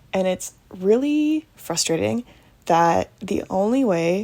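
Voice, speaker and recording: Medium-pitched female voice, dark and mellow, at a very slow pace with very wide pitch swings. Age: 20s. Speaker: podcaster. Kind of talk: casual monologue. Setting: bedroom at home. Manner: quiet, late-night; hesitant with many fillers.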